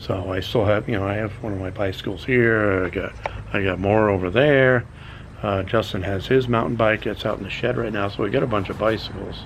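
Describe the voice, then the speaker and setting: Fairly quick and fairly low-pitched, a man talks with fairly even intonation. Audible room echo and noticeable background noise surround his voice. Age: 60s. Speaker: YouTube vlogger. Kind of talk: casual vlog monologue. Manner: halting, many fillers.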